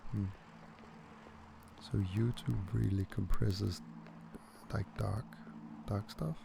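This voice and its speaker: Soft-spoken and very deep in pitch, a man talks at a very slow pace with very wide pitch swings and long, frequent pauses over noticeable background noise. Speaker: gaming commentator. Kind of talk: casual let's play commentary.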